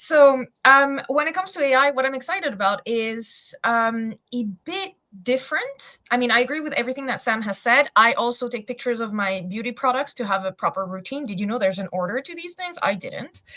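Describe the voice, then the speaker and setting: With a French accent and a bright, sharp tone, the speaker moves at a fairly quick pace with lively intonation and hardly any pauses. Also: woman, high pitch for a woman. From France. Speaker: SEO specialist. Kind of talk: webinar panel introduction.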